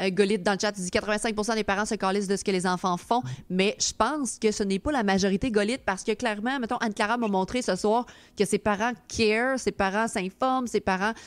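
A woman speaks in a Quebec accent on a very clean recording with a silent background. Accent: Québécois French. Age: 30s. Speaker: streamer and podcast host. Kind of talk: casual chat. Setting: live stream with chat.

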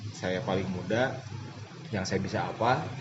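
Over noticeable background noise and audible room echo, a man speaks at a moderate pace with a fairly low pitch and ordinary pitch variation. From Bandung, West Java. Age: 20s. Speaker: football assistant coach. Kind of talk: casual interview. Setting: outdoors.

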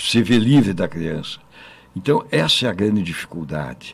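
This man's voice sits at a fairly low pitch and carries vocal fry. His pitch swings very widely. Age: 70s. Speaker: state politician. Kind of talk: panel discussion. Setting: studio. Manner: halting.

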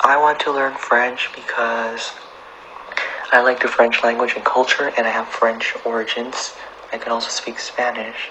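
Moderate pace with noticeable background noise. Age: 20s. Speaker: language learner, student. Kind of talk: interview.

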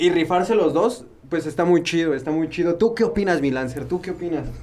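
This man's voice is high for a man and moves at a fairly quick pace with ordinary pitch variation. Noticeable background noise runs underneath. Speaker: podcast host. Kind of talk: casual chat.

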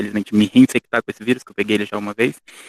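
In a dry, close sound with no echo, a man speaks with a monotone, flat intonation at a medium pitch. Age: 20s. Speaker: university student. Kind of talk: casual interview.

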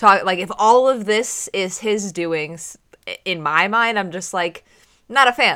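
Speaking at a fairly slow pace, a woman with a medium-pitched, bright, sharp voice shows ordinary pitch variation and big swings in loudness. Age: 30s. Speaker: podcast co-host. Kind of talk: casual chat.

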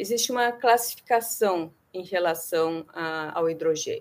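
Her intonation is lively. The woman has an unremarkable speaking voice and speaks at a fairly slow pace. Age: 50s. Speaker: researcher. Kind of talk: interview.

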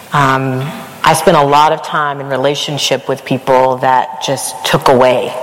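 Over noticeable background noise, a woman speaks in a very deep, low pitch with monotone, flat intonation. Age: 40s. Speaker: university vice president. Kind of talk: live interview. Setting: stage with audience.

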